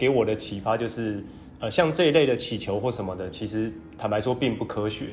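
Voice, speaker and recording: Talking at a fairly quick pace, a man sounds somewhat breathy, with audible room echo. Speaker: podcast co-host, education social enterprise founder. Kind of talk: casual chat.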